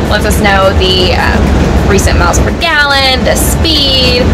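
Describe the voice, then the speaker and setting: A woman at a fairly slow pace, under loud background noise. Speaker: RV travel vlogger. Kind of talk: casual vlog chat. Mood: cheerful, excited. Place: car. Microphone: phone near.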